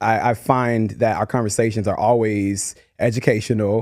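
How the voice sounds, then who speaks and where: A man's voice with a dark, mellow tone. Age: 20s. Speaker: podcast co-host. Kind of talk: casual chat. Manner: animated.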